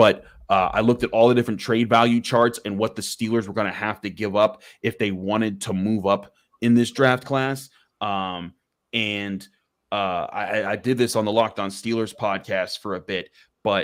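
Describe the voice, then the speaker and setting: On a very clean recording with a silent background, a man speaks with a fairly low pitch and fairly even intonation. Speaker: football analyst. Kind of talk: live draft discussion. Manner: fast; mumbling.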